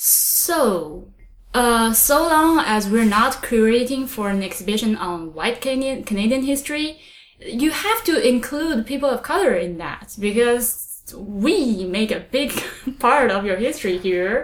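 Over noticeable background noise, a woman with a Chinese accent talks at a fairly slow pace, her high pitch carrying lively intonation. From China. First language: Mandarin Chinese. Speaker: podcast host. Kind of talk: casual chat.

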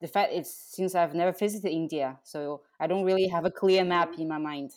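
A woman with an ordinary speaking voice, fairly low in pitch, talks at a fairly quick pace with hardly any pauses. Her intonation stays fairly even on a very clean recording with a silent background. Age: 30s. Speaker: podcast host. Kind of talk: casual interview.

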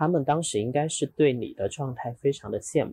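Dark, mellow tone from a somewhat breathy man at a fairly quick pace. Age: 30s. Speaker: investment community organizer, podcaster. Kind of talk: casual chat. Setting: in person, Guangzhou.

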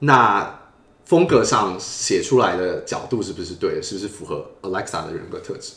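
Moderately paced man with big swings in loudness and audible room echo. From Taiwan. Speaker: user experience designer. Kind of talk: interview.

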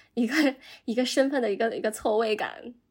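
Here is a woman with an unremarkable speaking voice. Her pitch is fairly high and her pace moderate. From China. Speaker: journalist. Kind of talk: casual chat.

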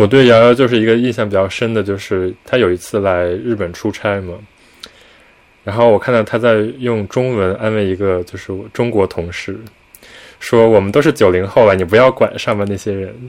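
A man speaks in an unremarkable speaking voice, his pitch fairly low. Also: fairly even intonation, moderate pace. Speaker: podcast co-host. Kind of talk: casual chat.

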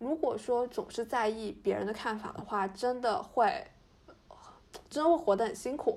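A woman speaks at a moderate pace in a plain, everyday voice. Her pitch is fairly high, and her intonation is lively. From Fujian, China. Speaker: podcast co-host. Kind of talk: casual chat.

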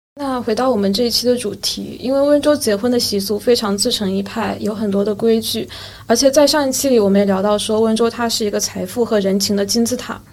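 A woman talks with hardly any pauses at a fairly high pitch and fairly even intonation. Noticeable background noise sits behind her. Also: fairly quick pace. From Yueqing, Wenzhou, Zhejiang, China. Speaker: podcast host. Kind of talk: casual chat.

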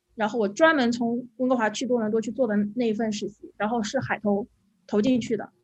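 A woman with a fairly high pitch and a somewhat breathy voice talks at a fairly quick pace with fairly even intonation. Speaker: UX designer. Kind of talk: panel discussion. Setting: video call.

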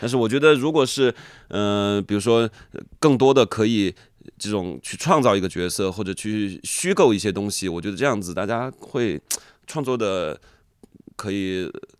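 A man talks at a fairly low pitch with ordinary pitch variation. He leaves long, frequent pauses, and the recording is very clean with a silent background. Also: moderate pace. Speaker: rapper. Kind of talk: interview conversation.

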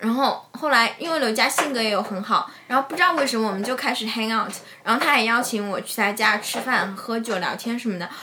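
Amid noticeable background noise and audible room echo, a woman talks at a fairly quick pace and fairly high pitch with ordinary pitch variation and hardly any pauses. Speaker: screenwriter. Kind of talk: casual chat.

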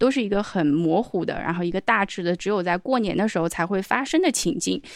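A woman speaks at a fairly quick pace with lively intonation and a medium pitch, on a very clean recording with a silent background. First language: non-English (speaking Chinese). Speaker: podcast co-host. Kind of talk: casual chat.

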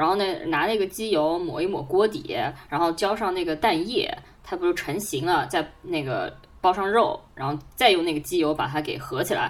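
A woman's normal speaking voice at medium pitch, lively in intonation, at a moderate pace. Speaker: podcast co-host. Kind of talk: casual chat.

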